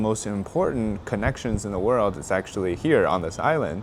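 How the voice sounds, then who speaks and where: A man with a fairly low voice speaks at a moderate pace with ordinary pitch variation over noticeable background noise. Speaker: political commentator and vlogger. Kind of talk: travel vlog commentary. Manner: halting, many fillers and restarts.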